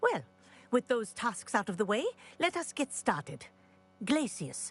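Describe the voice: A woman's put-on character voice, fairly high for a woman, slow, with big pitch swings and a slightly husky edge.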